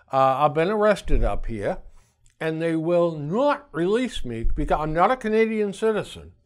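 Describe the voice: At a moderate pace, the voice moves through big pitch swings with a slightly mellow tone. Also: man, fairly high pitch for a man.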